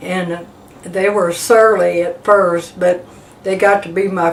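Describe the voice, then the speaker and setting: A woman at a fairly slow pace over noticeable background noise. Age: 80s+. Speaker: war veteran. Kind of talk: oral history testimony. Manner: halting, with fillers.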